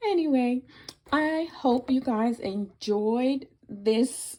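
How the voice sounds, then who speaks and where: A woman's dark, mellow voice moves through very wide pitch swings. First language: Spanish. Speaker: crafter and video creator. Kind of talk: unboxing video. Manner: hesitant, many fillers.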